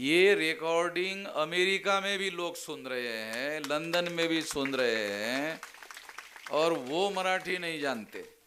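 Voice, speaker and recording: A man speaks at a high pitch with lively intonation. Noticeable background noise and audible room echo fill the recording. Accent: Marathi. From Maharashtra, India. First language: Marathi (speaking Hindi). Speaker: political activist speaker. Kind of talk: public speech. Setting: convention stage with audience. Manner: explanatory, didactic.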